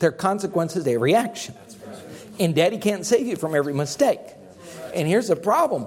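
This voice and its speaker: Over noticeable background noise, a man with a high pitch talks at a fairly quick pace with lively intonation and long, frequent pauses. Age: 50s. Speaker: pastor. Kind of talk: sermon.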